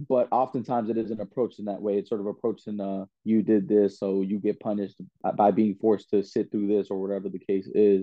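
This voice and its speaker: A man with an American accent talks at a very fast pace, his fairly low voice staying monotone and flat. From Washington, D.C. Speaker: dean of students. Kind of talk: interview.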